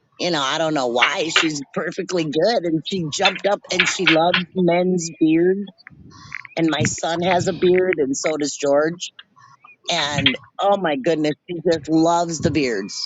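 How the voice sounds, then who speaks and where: A woman with an ordinary speaking voice talks fairly slowly at a fairly low pitch with ordinary pitch variation. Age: 60s. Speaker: animal rescuer. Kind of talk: casual chat.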